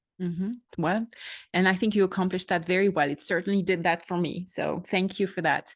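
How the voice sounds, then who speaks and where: With a French accent, a woman talks at a fairly quick pace in a medium pitch, her intonation fairly even against a quiet background. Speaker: podcast host. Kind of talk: interview.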